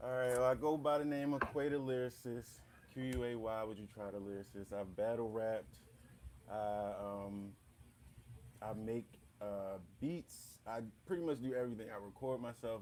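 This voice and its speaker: This man speaks at medium pitch and a moderate pace. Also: ordinary pitch variation. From Michigan. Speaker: rapper and battle rapper. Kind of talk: casual interview.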